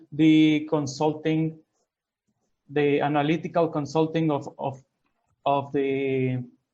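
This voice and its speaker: A man's very slow delivery, fairly high in pitch, with a dark, mellow tone. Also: long, frequent pauses. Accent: Spanish. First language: Spanish. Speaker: consulting business owner. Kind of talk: business pitch. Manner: halting.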